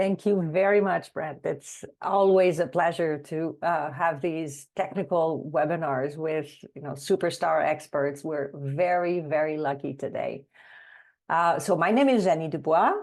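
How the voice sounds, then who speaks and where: Against a quiet background, a woman talks at a fairly slow pace, fairly low in pitch with ordinary pitch variation. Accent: French. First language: French. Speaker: webinar moderator and consultant. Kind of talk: webinar introduction.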